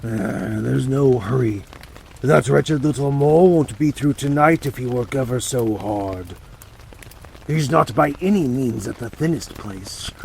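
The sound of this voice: Using a put-on character voice, a man talks at a moderate pace over clear background noise. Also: medium pitch for a man.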